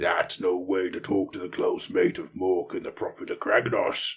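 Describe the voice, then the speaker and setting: At a moderate pace, a man uses a put-on character voice. It is raspy and extremely high in pitch. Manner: reproachful.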